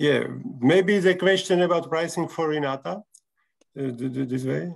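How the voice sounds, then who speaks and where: At a fairly high pitch and moderate pace, a man speaks with a Slovak accent and ordinary pitch variation. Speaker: clinic representative. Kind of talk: video call presentation. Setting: video call. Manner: halting.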